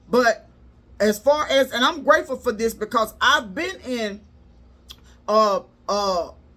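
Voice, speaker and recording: Her bright, sharp, high-pitched voice has lively intonation as the woman speaks at a fairly slow pace with long, frequent pauses. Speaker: relationship coach and live streamer. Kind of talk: casual live stream talk. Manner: rises in pitch when sincere, can sound upset.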